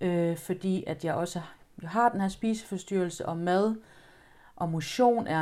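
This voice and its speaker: On a very clean recording with a silent background, a woman with a dark, mellow tone and medium pitch speaks fairly slowly with fairly even intonation. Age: 30s. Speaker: guest sharing personal experience. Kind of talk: testimony. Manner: halting.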